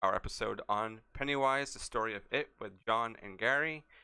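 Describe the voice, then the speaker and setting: A man is speaking. He keeps a moderate pace. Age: 20s. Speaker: podcast host. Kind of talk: casual interview.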